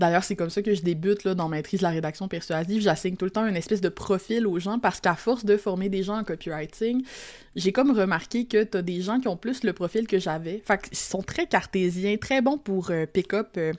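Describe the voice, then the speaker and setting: With a medium pitch and ordinary pitch variation, a woman speaks at a fairly quick pace. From Quebec, Lac-Saint-Jean. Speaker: copywriter and teacher. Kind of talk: podcast interview. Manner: casual, many fillers.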